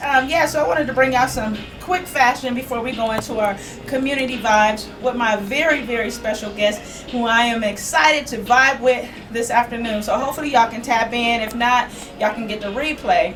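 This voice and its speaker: A woman with a high-pitched voice and ordinary pitch variation talks at a fairly quick pace, with noticeable background noise and audible room echo. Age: 40s. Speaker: online show host and fashion presenter. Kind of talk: live fashion show talk. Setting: live stream broadcast. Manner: fast; animated.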